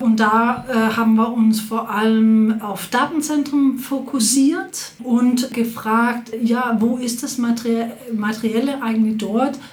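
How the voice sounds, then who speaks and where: Amid noticeable background noise and audible room echo, a woman with a fairly high voice speaks at a very slow pace with fairly even intonation and hardly any pauses. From Denmark, Copenhagen. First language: Danish (speaking German). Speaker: professor. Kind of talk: interview.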